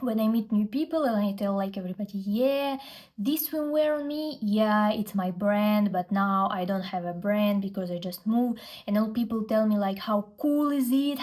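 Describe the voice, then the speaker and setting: A woman with a Russian accent speaks at a moderate pace. Her somewhat breathy voice is fairly high, with ordinary pitch variation. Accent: Russian accent in English, non-native. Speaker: fashion influencer and brand founder. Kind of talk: vlog storytelling.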